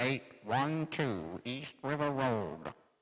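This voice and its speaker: In a put-on character voice, a man speaks at medium pitch. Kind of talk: 1940s radio acting. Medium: old radio play. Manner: flat, repetitive announcing.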